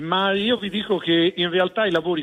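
Here is a man with an unremarkable speaking voice. He talks at a moderate pace with ordinary pitch variation. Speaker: regional president. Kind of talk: radio interview. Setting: remote link.

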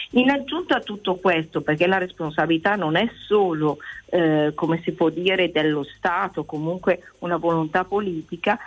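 A woman has a plain, everyday voice at a fairly low pitch, with ordinary pitch variation. Her pace is moderate, and her loudness is very even. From Italy. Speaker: teacher calling in. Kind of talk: radio phone-in call.

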